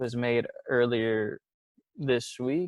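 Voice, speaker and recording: A man's voice at a medium pitch. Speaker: podcast co-host. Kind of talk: casual chat. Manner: animated.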